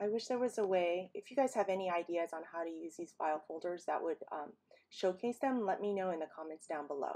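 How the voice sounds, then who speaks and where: Her fairly low pitch carries a dark, mellow tone, and the woman shows ordinary pitch variation. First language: not English. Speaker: paper crafting YouTuber. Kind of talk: tutorial voiceover. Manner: casual, with frequent fillers.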